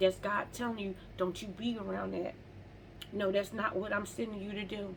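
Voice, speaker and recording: Through noticeable background noise, a woman talks at a moderate pace and medium pitch in an animated tone. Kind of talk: faith-based motivational monologue. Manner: occasional stumbling over words.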